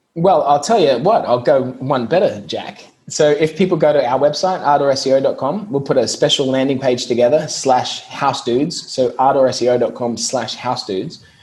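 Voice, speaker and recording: Speaking with an Australian accent and hardly any pauses, a man uses a fairly high pitch with ordinary pitch variation amid noticeable background noise. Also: moderate pace. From Australia, Brisbane. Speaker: SEO business owner. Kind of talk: podcast interview.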